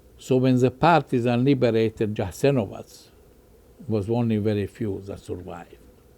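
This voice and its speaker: A man's voice at a medium pitch with ordinary pitch variation, a moderate pace and a dark, mellow tone. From Bosnia. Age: 80s+. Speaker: Holocaust survivor. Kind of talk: interview.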